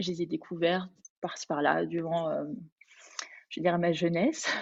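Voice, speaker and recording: The speaker is a woman. Her pitch is fairly low. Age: 30s. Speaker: Bach flower consultant and Pilates teacher. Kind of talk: webinar presentation. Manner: hesitant, many fillers.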